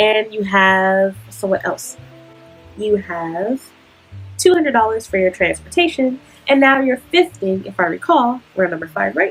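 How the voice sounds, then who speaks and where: Music plays behind a woman who keeps a moderate pace. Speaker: student and worker in Japan. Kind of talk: advice vlog talk to camera. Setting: noisy, distorted recording. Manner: casual.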